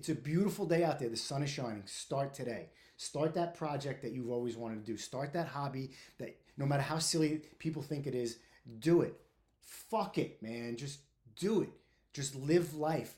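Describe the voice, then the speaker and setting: Moving at a moderate pace, this voice has a dark, mellow tone and is somewhat breathy. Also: man, fairly high pitch for a man, ordinary pitch variation. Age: 50s. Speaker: podcast host, firefighter. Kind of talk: casual monologue. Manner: informal, candid; halting, uses filler words.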